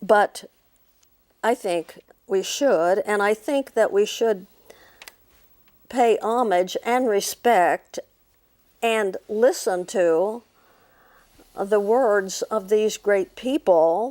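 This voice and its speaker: A woman with an American accent speaks very slowly at a fairly high pitch, with ordinary pitch variation, long, frequent pauses, and a dry, close sound with no echo. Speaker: psychic medium and minister. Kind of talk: storytelling. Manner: halting, many fillers.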